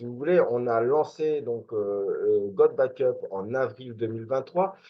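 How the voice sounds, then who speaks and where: The speaker is a man. His intonation is lively. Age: 40s. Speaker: network marketing promoter. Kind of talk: sales presentation. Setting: screen-share video presentation. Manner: halting, many filler words.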